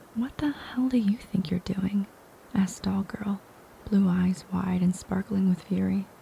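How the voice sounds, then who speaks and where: A soft-spoken woman talks at a moderate pace and a medium pitch. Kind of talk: audiobook reading.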